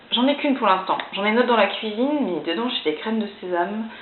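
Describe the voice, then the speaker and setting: The delivery is fairly quick, with lively intonation. Audible room echo and noticeable background noise surround the voice. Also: woman. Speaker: youtuber and bride-to-be showing wedding decorations. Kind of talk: casual vlog. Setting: at home. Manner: hesitant.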